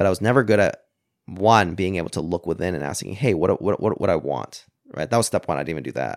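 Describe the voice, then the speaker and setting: A man with a Canadian accent, very deep, low pitch, vocal fry, lively intonation and a very fast pace. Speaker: tech entrepreneur and programmer. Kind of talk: casual chat.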